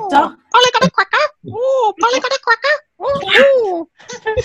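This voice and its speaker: Extremely high pitch at a moderate pace, delivered in a put-on character voice. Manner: playful impression.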